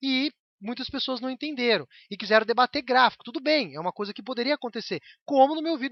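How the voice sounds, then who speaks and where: A man talks at a very fast pace in an animated tone, his pitch extremely high for a man but his pitch variation ordinary. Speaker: YouTuber. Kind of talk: vlog rant.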